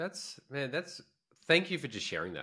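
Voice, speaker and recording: On a very clean recording with a silent background, a man's voice comes across bright and sharp. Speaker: podcast co-host. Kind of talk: casual chat. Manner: loud and fast; expressive.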